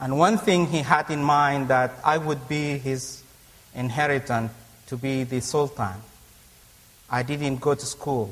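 Speaking with a non-native accent, a man talks at a fairly slow pace and fairly high pitch, using ordinary pitch variation and long, frequent pauses. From Africa. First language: not English. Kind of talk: personal testimony in a debate. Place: church. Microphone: lapel.

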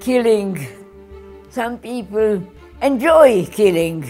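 Very slow speech over faint background music. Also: woman. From Hungary. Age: 80s+. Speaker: Holocaust survivor. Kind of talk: documentary interview answer. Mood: distressed, close to tears.

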